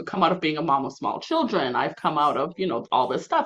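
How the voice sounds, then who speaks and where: In a bright, sharp tone, a woman speaks at a moderate pace. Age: 40s. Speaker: podcast host. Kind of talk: casual chat. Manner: halting.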